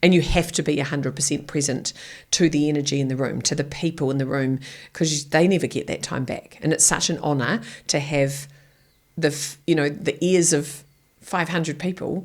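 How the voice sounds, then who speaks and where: The speaker has a New Zealand accent and fairly even intonation. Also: woman, very deep, low pitch for a woman, fairly quick pace. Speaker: keynote speaker. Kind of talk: podcast interview answer. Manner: blunt.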